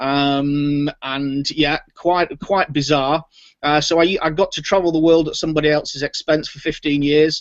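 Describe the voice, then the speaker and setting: With a British accent, a man speaks at a moderate pace in a fairly high, monotone, flat voice. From Britain. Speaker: software entrepreneur. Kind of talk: interview.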